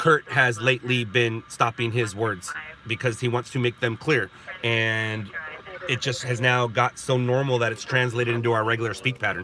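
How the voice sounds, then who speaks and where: Noticeable background noise surrounds a man with an American accent. His medium-pitched voice moves at a moderate pace with fairly even intonation. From California. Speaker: live-stream host. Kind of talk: casual live-stream talk.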